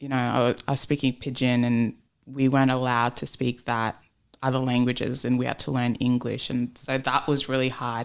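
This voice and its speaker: A woman with an Australian accent speaks at a very deep, low pitch and a fairly quick pace. Her intonation is monotone and flat, in a very clean recording with a silent background. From Australia (Melbourne), born in Papua New Guinea. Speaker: entrepreneur and sales professional. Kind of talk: podcast interview.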